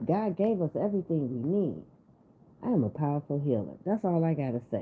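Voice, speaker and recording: This woman's voice sits very deep and low yet makes very wide pitch swings, all at a very even loudness. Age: 60s. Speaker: spiritual energy reader and livestreamer. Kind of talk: casual livestream chat. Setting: livestream. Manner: animated.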